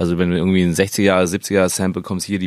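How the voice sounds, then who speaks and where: Dry and close with no echo, a man's very deep, low voice moves at a fairly quick pace with fairly even intonation. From Stuttgart, southwest Germany. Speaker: electronic music producer and label owner. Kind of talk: casual interview. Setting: studio.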